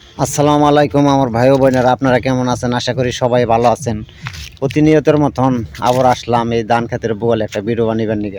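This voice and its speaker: Amid noticeable background noise, a man of medium pitch talks with fairly even intonation. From Bangladesh, Gazipur near Dhaka. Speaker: video content creator. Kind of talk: casual vlog talk to camera. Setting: outdoors in a rice field.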